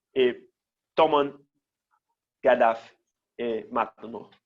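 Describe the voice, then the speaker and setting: A very slow man's voice in a Brazilian accent. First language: Portuguese (speaking Spanish). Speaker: teacher. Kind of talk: lecture. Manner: halting.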